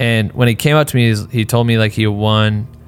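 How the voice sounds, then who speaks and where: A man with an American accent talks at a fairly quick pace in a fairly low voice, his intonation fairly even, with music playing in the background. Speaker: podcast host. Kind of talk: casual chat. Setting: studio. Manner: fast.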